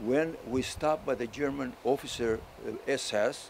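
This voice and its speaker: A man speaks with a strong Greek accent, his fairly high voice moving with ordinary pitch variation. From Crete, Greece. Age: 80s+. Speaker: war veteran. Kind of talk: acceptance speech. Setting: ceremony at a memorial. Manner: halting.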